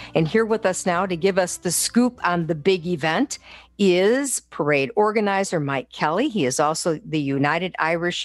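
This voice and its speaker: A woman with a plain, everyday voice speaks at a fairly low pitch and a moderate pace. Her intonation is lively, and the background is quiet. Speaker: radio host. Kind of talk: radio show hosting.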